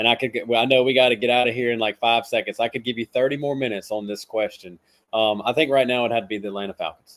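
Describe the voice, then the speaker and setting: Talking very fast in a Southern US accent, a man keeps a medium pitch and fairly even intonation. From South Carolina. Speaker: fantasy football analyst. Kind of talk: casual podcast chat.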